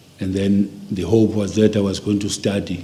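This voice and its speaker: Amid noticeable background noise and audible room echo, a man with a very deep, low voice talks at a moderate pace. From South Africa, KwaZulu-Natal (Inanda near Durban). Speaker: interviewee recounting life story. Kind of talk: oral history interview.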